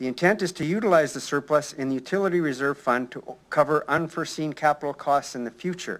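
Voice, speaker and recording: Fairly high-pitched for a man, this voice has a Canadian prairie accent, ordinary pitch variation and a fairly quick pace. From Saskatchewan, Canada. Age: 60s. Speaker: retired citizen delegate. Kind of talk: prepared public delegation statement. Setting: city council chamber. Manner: formal.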